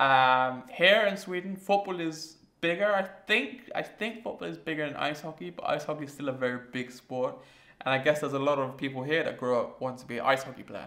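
A man talks in a fairly high, bright and sharp voice. His intonation is lively, and his loudness swings widely. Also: fairly quick pace, quiet background. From England. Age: 20s. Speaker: vlogger. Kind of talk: casual vlog monologue. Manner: hesitant, many fillers. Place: home room.

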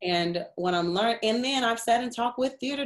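Against a quiet background, a woman with an American accent speaks at a fairly high pitch, with lively intonation and a moderate pace. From Chicago, South Side. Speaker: actress and vocalist. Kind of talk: interview answer. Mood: reflective, earnest, sometimes excited. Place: home room. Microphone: webcam.

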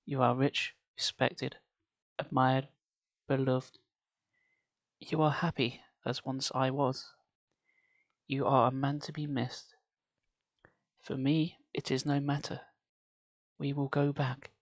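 Long, frequent pauses keep interrupting speech delivered at a fairly slow pace. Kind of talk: ASMR story reading. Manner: soft-spoken.

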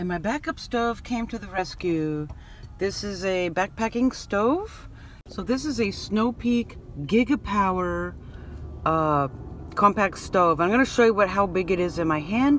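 With lively intonation, a woman speaks at a fairly slow pace over light background noise, the sound dry with no echo. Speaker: van life vlogger. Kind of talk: casual vlog chat. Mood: animated, recounting a scare. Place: car. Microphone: phone near.

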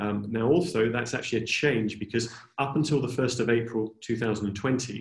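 A man with a British accent speaks at medium pitch and a moderate pace, his voice somewhat breathy with ordinary pitch variation. Audible room echo colors the quiet background. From Britain. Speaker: tax adviser; presenter. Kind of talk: webinar presentation. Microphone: video call.

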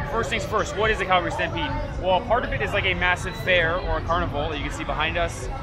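A man talking at a very fast pace over loud music in the background. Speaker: travel vlogger. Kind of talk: casual vlog chat. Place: street. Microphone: phone near.

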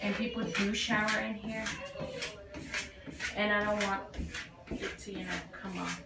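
A woman is talking. Loud background noise is present. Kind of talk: casual vlog chat. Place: bathroom.

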